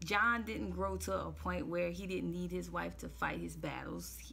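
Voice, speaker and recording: Very slowly, a woman speaks amid audible room echo. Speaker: relationship commentary vlogger. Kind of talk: casual commentary monologue. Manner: hesitant with many fillers.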